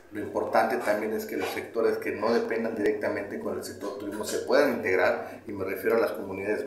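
Light background noise and audible room echo surround the recording. A man talks at a very fast pace. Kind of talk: interview answer. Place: home room. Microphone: phone near.

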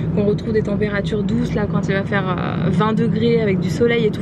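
Over loud background noise, a woman talks at a very fast pace, the sound dry with no echo. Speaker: vlogger. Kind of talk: casual vlog chat. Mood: cheerful, chatty. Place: car. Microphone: phone near.

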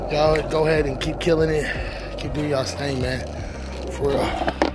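Music plays in the background. The sound itself is dry, with no echo. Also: man. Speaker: skate vlogger. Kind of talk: casual vlog chat. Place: street. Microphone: phone near.

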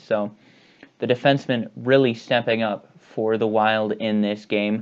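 A man talks at a moderate pace with fairly even intonation. The background is quiet. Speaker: sports vlogger. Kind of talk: sports recap commentary. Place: home room. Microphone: earbuds.

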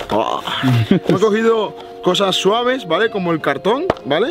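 A man speaks at a moderate pace in a dry sound with no echo, clear music playing in the background. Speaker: youtuber. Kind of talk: casual vlog chat. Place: garden. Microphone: phone near.

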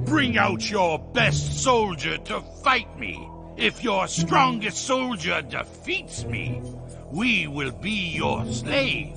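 In a put-on character voice, the speaker goes at a very slow pace over clear music in the background. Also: man.

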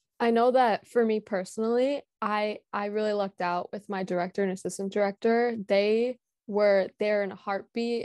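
In an American accent, the speaker talks at a fairly quick pace with monotone, flat intonation and long, frequent pauses, the sound dry with no echo and the background quiet. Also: woman. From Illinois, Crystal Lake. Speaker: camp counsellor, university student. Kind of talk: casual interview chat. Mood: friendly, reflective. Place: home room. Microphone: earbuds.

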